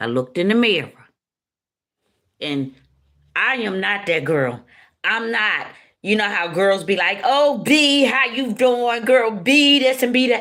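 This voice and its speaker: A woman speaks at a fairly slow pace in a fairly high, bright and sharp voice, with an animated tone. Her pitch swings very widely, and she takes long, frequent pauses. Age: 60s. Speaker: spiritual speaker. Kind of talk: personal testimony.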